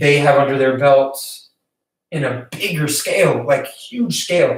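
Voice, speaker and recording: A man talks at a fairly slow pace. Room echo can be heard around his voice. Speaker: filmmaking YouTuber. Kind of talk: casual live stream tutorial. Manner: hesitant, many fillers.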